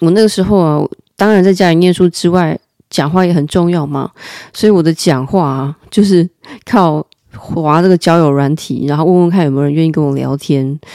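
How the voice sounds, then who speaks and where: A woman's fairly low, dark and mellow voice, fairly quick in pace, with ordinary pitch variation. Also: dry, close sound with no echo. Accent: Taiwanese. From Taiwan, Taipei. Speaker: podcast host. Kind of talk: casual storytelling monologue.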